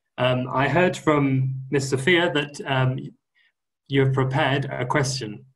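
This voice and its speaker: In a room with audible echo, a man talks at a fairly slow pace in a medium-pitched, somewhat breathy voice. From Wales. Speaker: guest English teacher. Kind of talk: online lesson for school pupils. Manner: slow, clear, simple wording for learners.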